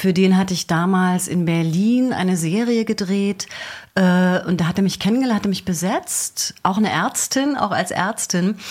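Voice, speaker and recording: At a moderate pace, a woman speaks with medium pitch and ordinary pitch variation. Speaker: actress, dog trainer and hypnotherapist. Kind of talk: radio interview. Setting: radio studio. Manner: storytelling, like a radio play.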